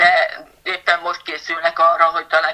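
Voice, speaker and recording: A woman speaks at a moderate pace. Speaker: patient advocate with a rare disease. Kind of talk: interview.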